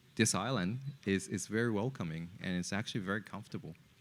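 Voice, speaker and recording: In a Japanese accent, a man speaks at a very deep, low pitch on a very clean recording with a silent background. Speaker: entrepreneur. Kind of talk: podcast interview. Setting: in person in a co-working space. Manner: halting, many fillers and repetitions.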